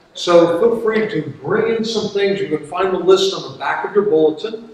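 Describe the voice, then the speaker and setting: Audible room echo and light background noise accompany a man speaking at a moderate pace. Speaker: pastor. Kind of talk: church announcements. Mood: warm, upbeat. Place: church. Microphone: camera far.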